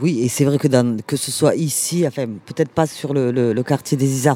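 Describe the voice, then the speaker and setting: A woman's intonation is lively as she talks at a fairly slow pace. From Toulouse, France. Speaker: community activist. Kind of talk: casual interview.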